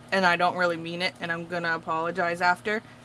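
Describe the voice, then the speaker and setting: A woman's fairly low voice comes through with noticeable noise in the background. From Massachusetts, Portuguese community. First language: Portuguese. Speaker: craft vlogger. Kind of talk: casual chat. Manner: chatty, filler-heavy.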